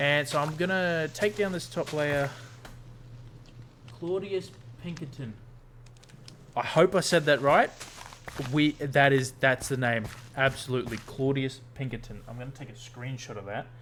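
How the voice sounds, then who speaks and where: A man with an Australian accent speaks at a fairly high pitch, leaving long, frequent pauses. His loudness swings widely. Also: ordinary pitch variation, moderate pace. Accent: Australian, noticeable to viewers. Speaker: gaming streamer. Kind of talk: casual gameplay livestream chat. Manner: casual, hesitant with fillers.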